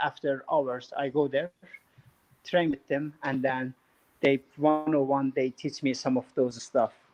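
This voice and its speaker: A man talks in a fairly high pitch with fairly even intonation. The sound is dry and close, with no echo. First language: not English. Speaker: former MMA fighter turned real estate developer. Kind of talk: interview. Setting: live stream.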